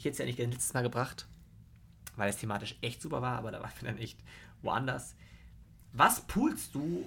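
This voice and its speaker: Vocal fry colors the voice. Intonation is lively, at a moderate pace. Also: man. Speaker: podcast co-host. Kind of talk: casual chat. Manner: loud.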